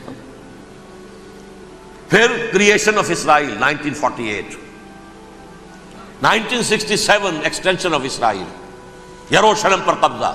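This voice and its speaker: Music plays in the background as a man speaks. His pitch is high and his intonation lively. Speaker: Islamic scholar giving a religious lecture. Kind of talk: religious sermon / lecture (bayan). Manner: earnest, impassioned, explanatory.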